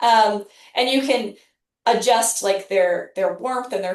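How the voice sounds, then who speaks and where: A woman with an American accent and an unremarkable speaking voice, at a moderate pace. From Northeastern US. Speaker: medical practice owner discussing AI receptionists. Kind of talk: casual, conversational.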